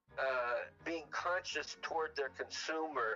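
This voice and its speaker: Noticeable background noise accompanies a man who speaks with an American accent. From Southern California, Long Beach. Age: 70s. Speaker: podcast guest. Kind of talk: casual chat. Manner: halting, with frequent restarts.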